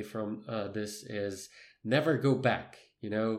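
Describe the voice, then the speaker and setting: With a non-native accent, a man talks at a fairly slow pace in a medium pitch, keeping his intonation fairly even. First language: not English. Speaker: podcast co-host. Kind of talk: casual chat. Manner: halting.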